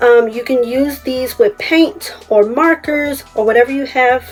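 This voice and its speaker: With music in the background, a woman speaks in a high pitch. Her pace is very slow but her intonation is lively. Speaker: craft YouTuber. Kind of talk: tutorial. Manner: animated.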